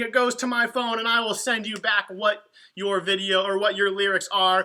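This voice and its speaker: A man projects a raised voice in an animated, bright, sharp tone. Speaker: youth ministry leader. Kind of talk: livestream announcements. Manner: fast.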